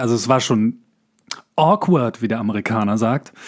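This man speaks at a moderate pace and a medium pitch, with lively intonation. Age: 40s. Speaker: actor and voice actor, podcast co-host. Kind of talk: casual chat. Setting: remote recording.

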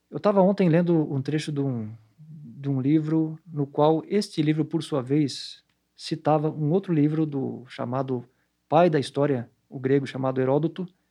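A man speaks in a normal speaking voice, fairly high-pitched, with ordinary pitch variation at a fairly slow pace. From Santa Catarina, southern Brazil (Blumenau). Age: 40s. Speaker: psychology professor. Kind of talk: interview monologue.

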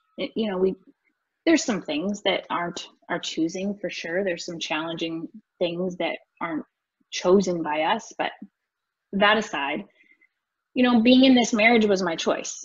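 A woman with a Canadian Prairie accent, medium pitch, lively intonation and a somewhat breathy voice, at a moderate pace with long, frequent pauses. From rural northern Alberta, Canada. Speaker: real estate investor and coach. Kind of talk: podcast interview.

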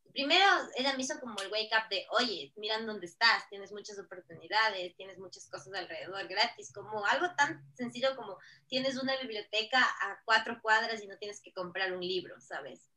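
A woman with a plain, everyday voice speaks fairly quickly at a fairly high pitch, with ordinary pitch variation and big swings in loudness. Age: 30s. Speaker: digital marketing consultant. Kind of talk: podcast interview.

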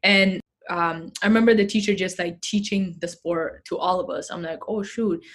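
With a non-native accent, a woman speaks at a moderate pace and medium pitch, somewhat breathy, her intonation fairly even. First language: not English. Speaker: activist and athlete. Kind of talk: casual interview chat.

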